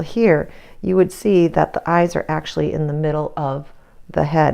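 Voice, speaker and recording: A woman mumbles her words. Her pace is moderate. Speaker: art teacher. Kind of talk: tutorial. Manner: mumbling.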